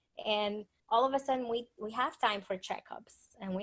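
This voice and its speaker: A woman's fairly slow speech in a Spanish accent, fairly high in pitch with ordinary pitch variation. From Dominican Republic. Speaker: author and speaker. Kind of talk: interview presentation.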